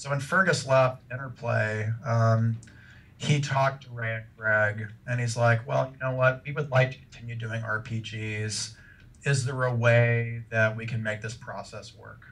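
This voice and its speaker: Big swings in loudness mark this man's speech at a medium pitch. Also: fairly slow pace. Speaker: game developer. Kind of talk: interview. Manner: hesitant, many fillers.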